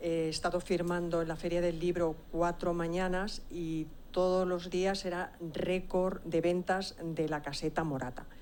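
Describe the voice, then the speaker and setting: The speech is fairly slow and monotone, flat in intonation, with hardly any pauses and audible room echo. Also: woman. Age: 60s. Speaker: author, audience member. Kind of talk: question from the floor at a conference. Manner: halting.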